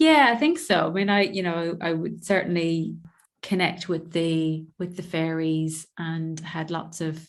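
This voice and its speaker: A woman with an Irish accent speaks fairly slowly in a flat monotone, with audible echo in the room. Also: fairly low pitch for a woman. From Ireland, east coast between Dublin and Belfast. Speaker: visibility mentor and poet. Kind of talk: podcast interview. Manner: gentle, soft-spoken; halting, self-correcting.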